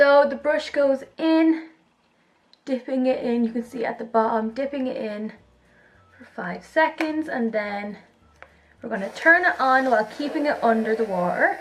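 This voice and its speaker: An enthusiastic voice moves at a moderate pace with ordinary pitch variation, big swings in loudness, and long, frequent pauses. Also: woman, high pitch for a woman. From Ireland. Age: young. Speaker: beauty vlogger. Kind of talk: casual product review to camera. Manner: chatty, enthusiastic.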